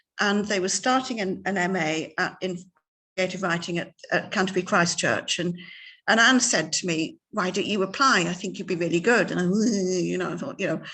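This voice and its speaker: A woman's medium-pitched voice with a bright, sharp tone and ordinary pitch variation, at a moderate pace over a quiet background. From Ireland. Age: 60s. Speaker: novelist. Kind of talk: interview. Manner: halting, many repetitions.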